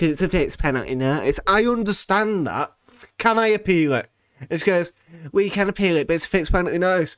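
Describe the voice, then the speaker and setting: Talking at a very fast pace with a British accent, a man uses a high pitch and ordinary pitch variation. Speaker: podcast host. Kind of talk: angry rant. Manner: indignant, incredulous, repeating lines for emphasis; sarcastic, sweary, mimicking voices.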